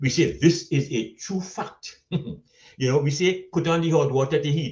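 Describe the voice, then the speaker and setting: Fairly high-pitched male voice in a Caribbean accent, dark and mellow in tone, with vocal fry and a fairly slow pace. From Trinidad and Tobago. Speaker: storyteller and social commentator. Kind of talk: humorous conference speech. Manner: witty, eloquent.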